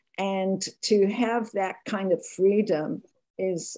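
A woman speaks slowly at a medium pitch. Her tone is dark and mellow.

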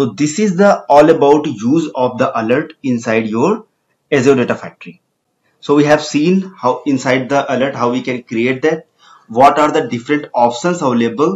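An Indian accent at a moderate pace, with ordinary pitch variation. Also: man, fairly high pitch for a man. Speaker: tech tutorial presenter. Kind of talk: tutorial.

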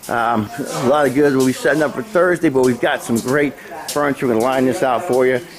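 With music in the background, a man at a medium pitch speaks very fast in an upbeat tone, very even in loudness, with ordinary pitch variation. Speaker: auction promoter. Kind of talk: walkthrough sales pitch previewing auction lots, rattling off items as he strolls. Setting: outdoors at auction grounds. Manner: brisk, upbeat salesman patter with a steady rolling list rhythm; casual, slightly halting with frequent 'uh' fillers and self-repeats.

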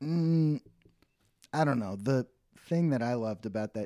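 Against a quiet background, a man with an American accent speaks at a moderate pace in a dark, mellow tone. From Texas (Dallas); Texas. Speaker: comedy podcast co-host, actor. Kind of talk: casual chat. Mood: relaxed, joking. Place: home room. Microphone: studio mic.

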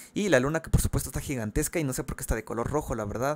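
A man with a Mexican accent speaks at medium pitch with ordinary variation. The sound is dry and close with no echo, in a very clean recording with a silent background. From Mexico. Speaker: gaming YouTuber. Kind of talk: casual video commentary. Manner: fast; halting.

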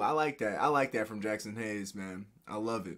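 Over a quiet background, a man uses a raised, projected voice with a bright, sharp tone, lively intonation, and a moderate pace. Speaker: YouTube reaction video creator. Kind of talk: reaction video over game footage, casual chat. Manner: animated, excitable fan, casual slangy. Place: home room. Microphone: webcam.

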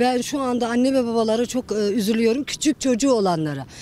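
A woman with a high pitch and a dark, mellow tone, fairly quick pace, dry sound with no echo, light background noise. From Kayseri, Turkey; Turkey. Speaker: interviewee on the street; interviewee. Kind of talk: street interview. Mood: worried, indignant about prices. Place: street. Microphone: handheld.

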